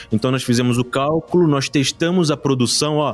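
The speaker is a man with a Rio de Janeiro accent. His voice is fairly high-pitched. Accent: carioca. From Rio de Janeiro (Pavuna). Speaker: teacher and board-game creator. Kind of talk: casual interview.

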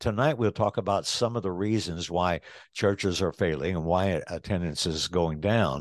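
With a very deep, low pitch and lively intonation, a man speaks at a moderate pace, the sound dry and close with no echo against a quiet background. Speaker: church shepherd (elder) and teacher. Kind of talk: lecture-style Bible study discussion. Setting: pre-recorded church study.

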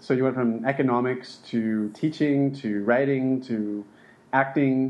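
A man is speaking. He has an ordinary speaking voice. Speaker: podcast host. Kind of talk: casual interview.

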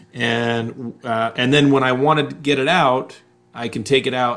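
At a moderate pace, a man talks in a normal speaking voice of medium pitch with ordinary pitch variation. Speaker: podcast host and coach. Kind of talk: interview conversation.

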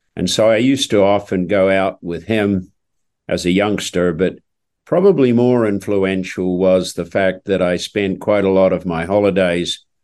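Fairly even intonation comes through in a New Zealand accent against a quiet background. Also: man. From New Zealand, South Island. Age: 70s. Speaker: equine orthopedic surgeon. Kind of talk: interview storytelling.

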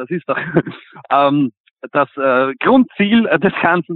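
A man's voice in a Viennese accent, with lively intonation. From Vienna, Simmering. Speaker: punk band singer. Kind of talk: interview. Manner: hesitant, many fillers.

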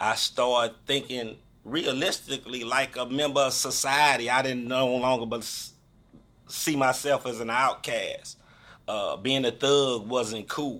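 At a fairly slow pace, a man talks in a medium-pitched voice with a bright, sharp tone and monotone, flat intonation. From St. Louis, Missouri (North St. Louis). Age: 50s. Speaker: formerly incarcerated university graduate. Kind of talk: interview. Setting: studio.

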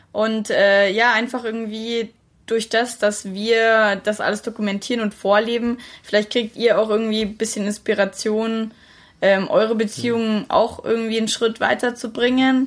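On a very clean recording with a silent background, a woman talks in a fairly high pitch with monotone, flat intonation. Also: moderate pace. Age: 20s. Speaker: podcast co-host, student. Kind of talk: casual chat.

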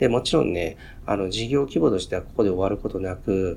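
A man speaks at a moderate pace with a fairly low pitch. His tone is dark and mellow, with ordinary pitch variation. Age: 40s. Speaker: podcast host and company executive. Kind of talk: casual monologue. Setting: office. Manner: halting, many filler words.

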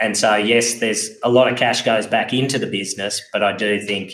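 In an Australian accent, a man talks with a monotone, flat intonation. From Australia, Wagga Wagga, New South Wales. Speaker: farm business advisor. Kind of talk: interview.

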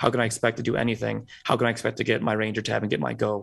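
A man speaks at a very fast pace with vocal fry. The background is quiet. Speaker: premed student. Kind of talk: casual chat.

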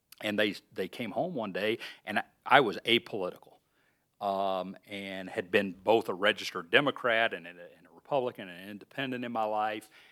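A man with an Alabama accent talks at a fairly quick pace, with ordinary pitch variation and big swings in loudness. The sound is dry and close with no echo, on a very clean recording with a silent background. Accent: Southern US, Alabama. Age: 50s. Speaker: research park president, former county official. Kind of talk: casual interview.

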